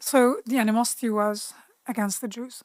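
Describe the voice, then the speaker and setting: A woman speaks in an Arabic accent at a moderate pace and a fairly high pitch. Her pitch variation is ordinary, and the sound is dry and close with no echo. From Lebanon, Bekaa Valley. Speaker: political activist. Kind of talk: interview. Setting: studio.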